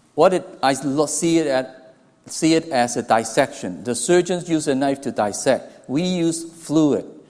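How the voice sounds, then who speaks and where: A man with a Hong Kong accent talks at a fairly slow pace, his fairly high voice showing ordinary pitch variation. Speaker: anesthesiology professor. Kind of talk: lecture. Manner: halting, with restarts.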